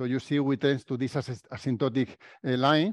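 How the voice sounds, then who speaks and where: A man with a Spanish accent against a quiet background. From Spain. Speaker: professor. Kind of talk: lecture. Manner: halting. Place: meeting room.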